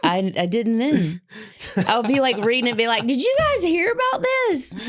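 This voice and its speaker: Over noticeable background noise, a woman speaks at a very even loudness. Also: moderate pace. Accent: Southern US. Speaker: podcast co-host. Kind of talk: casual chat.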